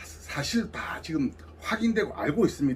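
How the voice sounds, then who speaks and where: Vocal fry runs through this man's voice as it makes very wide pitch swings. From South Gyeongsang, Korea (Samcheonpo). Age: 70s. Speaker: civic group regional leader. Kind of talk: interview.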